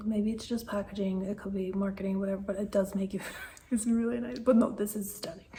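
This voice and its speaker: A woman's voice over noticeable background noise. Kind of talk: makeup unboxing and review talking to camera. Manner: whispered, soft.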